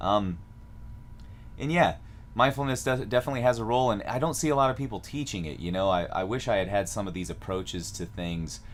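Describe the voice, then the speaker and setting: With a Midwestern American accent, a man talks at a very fast pace in a fairly low pitch, his intonation lively. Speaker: music teacher. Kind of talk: live stream tutorial. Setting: live stream. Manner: casual, with many fillers.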